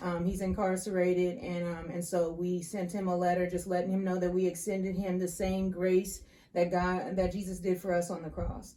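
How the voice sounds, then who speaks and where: A woman talks at a moderate pace with hardly any pauses, her medium-pitched voice monotone and flat. Room echo can be heard. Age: 30s. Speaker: crime survivor and caregiver. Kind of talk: testimony. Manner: halting, frequent fillers.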